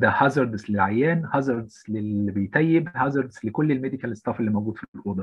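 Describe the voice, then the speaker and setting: Ordinary pitch variation and a moderate pace mark a man's somewhat breathy speech. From Egypt, Alexandria. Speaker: intensive care physician. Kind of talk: lecture.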